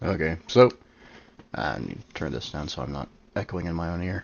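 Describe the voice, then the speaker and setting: A quiet man's voice, very deep and low, with ordinary pitch variation and a moderate pace. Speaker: storyteller streamer. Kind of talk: live stream setup chat. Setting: live stream.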